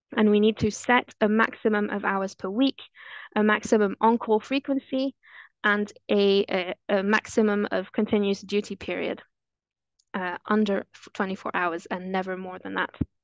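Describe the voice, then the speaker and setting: A woman speaks at a moderate pace in a French accent, with fairly even intonation and a dry sound with no echo. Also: quiet background. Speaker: anesthesiologist; presenter. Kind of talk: webinar presentation. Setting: video call.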